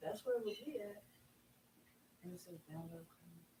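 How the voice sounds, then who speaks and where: A woman's somewhat breathy voice, dark and mellow in tone, with ordinary pitch variation. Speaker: loctician. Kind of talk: casual chat. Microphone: far from the mic.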